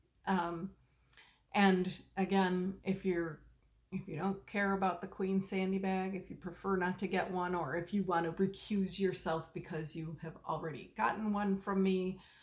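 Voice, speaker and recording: A woman's voice is somewhat breathy. Her intonation is monotone and flat. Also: medium pitch for a woman. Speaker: knitting video podcaster. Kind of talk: casual chat. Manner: slow, fishing for words; halting, many fillers.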